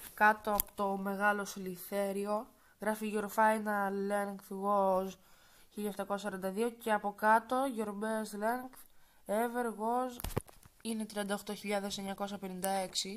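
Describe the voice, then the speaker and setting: Soft-spoken, a woman of medium pitch talks in a monotone, flat intonation with long, frequent pauses. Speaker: gaming YouTuber. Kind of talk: gameplay commentary. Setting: wearing headphones, recording at home.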